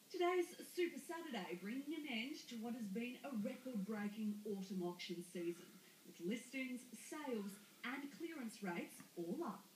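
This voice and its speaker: Noticeable background noise sits behind a woman with a fairly high pitch. She talks at a moderate pace with very wide pitch swings. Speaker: TV news reporter. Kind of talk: TV news report.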